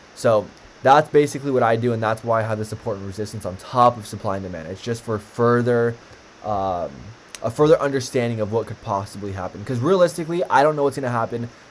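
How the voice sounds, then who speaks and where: A man at medium pitch talking at a very fast pace over noticeable background noise. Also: ordinary pitch variation. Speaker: stock trading teacher. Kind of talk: tutorial. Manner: casual, filler-heavy.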